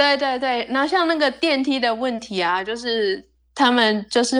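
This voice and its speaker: The recording is very clean, with a silent background. A woman speaks at a high pitch and a fairly slow pace. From Taiwan. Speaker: percussionist. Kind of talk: casual chat.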